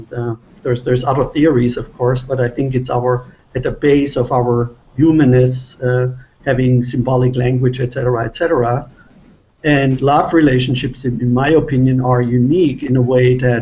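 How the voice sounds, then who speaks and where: A man with a German accent speaks at medium pitch and a moderate pace. His intonation is monotone and flat, and his voice is somewhat breathy. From Germany. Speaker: relationship author. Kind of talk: panel discussion.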